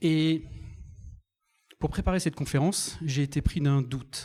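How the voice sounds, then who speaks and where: Speaking at a fairly slow pace, a man has a dark, mellow, somewhat breathy tone with ordinary pitch variation. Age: 50s. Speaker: software developer and conference speaker. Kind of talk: conference talk. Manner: animated.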